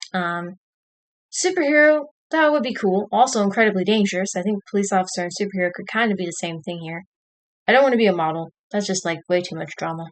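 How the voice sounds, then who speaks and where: An American-accented woman talks very fast with lively intonation and big swings in loudness against a quiet background. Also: medium pitch for a woman. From Texas. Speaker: streamer. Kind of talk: casual live stream chat, reading quiz questions. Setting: home live stream at computer with camera.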